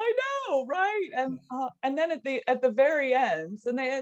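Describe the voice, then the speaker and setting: A woman with a high pitch, in a dry, close sound with no echo. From California. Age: 40s. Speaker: actress and former TV production worker. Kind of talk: interview conversation.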